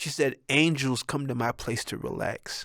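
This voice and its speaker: A man with an animated tone and vocal fry speaks at a moderate pace, medium in pitch. The recording is very clean, with a silent background. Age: 60s. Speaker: entertainer and comedian hosting a talk show. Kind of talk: casual monologue.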